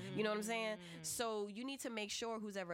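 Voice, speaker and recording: With an American accent, a woman speaks at a very fast pace. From US South, New Orleans. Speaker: YouTube talk show host and educator. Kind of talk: casual chat. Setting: radio studio. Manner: animated.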